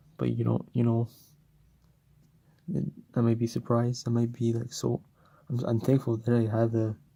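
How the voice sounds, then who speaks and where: Speaking quietly with long, frequent pauses, a man has a dark, mellow tone, fairly even intonation and a somewhat breathy voice. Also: medium pitch for a man, moderate pace. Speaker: gaming YouTuber. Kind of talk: unscripted unboxing vlog. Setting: at home. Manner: halting, many fillers.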